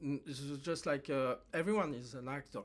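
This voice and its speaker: A man with a French accent speaks at a moderate pace in a fairly high voice, his pitch varying in the ordinary way, on a very clean recording with a silent background. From France. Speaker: actor. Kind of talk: personal monologue to camera. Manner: halting, many fillers.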